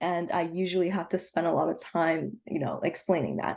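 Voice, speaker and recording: This woman talks fairly quickly with a Canadian accent, her fairly low pitch showing vocal fry and ordinary variation. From Toronto, Canada (moved from China as a child). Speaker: university student panelist. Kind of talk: online panel presentation. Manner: casual, with frequent fillers.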